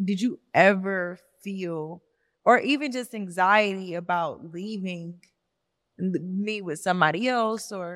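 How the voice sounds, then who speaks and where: A woman with an Atlanta accent speaks at a medium pitch and a very slow pace, her pitch moving in an ordinary way. Her loudness swings widely, and the recording is very clean with a silent background. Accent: Southern US, Atlanta. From Atlanta, Georgia. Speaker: podcast host. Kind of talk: casual chat.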